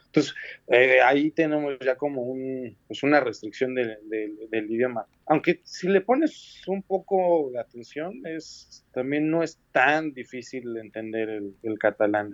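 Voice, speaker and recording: A man's medium-pitched voice at a fairly slow pace, with ordinary pitch variation, big swings in loudness, and a dry, close sound with no echo. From Mexico City. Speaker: graphic designer and art direction student. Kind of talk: interview. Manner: halting.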